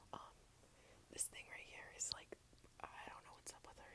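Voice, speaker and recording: Whispering in an American accent at a fairly quick pace, the speaker is heard over noticeable background noise. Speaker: ASMR creator. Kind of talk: ASMR whispered French lesson. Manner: whispered.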